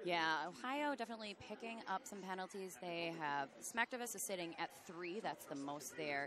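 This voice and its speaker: Speaking with an American accent at a moderate pace and with hardly any pauses, a woman of medium pitch makes very wide pitch swings. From US Midwest. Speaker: roller derby commentator. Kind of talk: live commentary. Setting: commentary booth at a live event.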